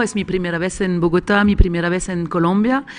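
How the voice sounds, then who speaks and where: Against a quiet background, a woman with a medium pitch speaks at a moderate pace with fairly even intonation. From Switzerland. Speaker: screenwriter and script doctor. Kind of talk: panel discussion. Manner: halting.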